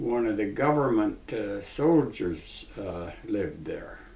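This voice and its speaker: Someone with an Ontario accent is heard with audible room echo and noticeable background noise. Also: man. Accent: rural Ontario Canadian. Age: 80s+. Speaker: retired farmer. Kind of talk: interview.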